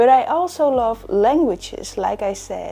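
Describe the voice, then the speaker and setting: A woman speaks with a Dutch accent. Her pace is very slow. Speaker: book YouTuber. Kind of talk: tutorial.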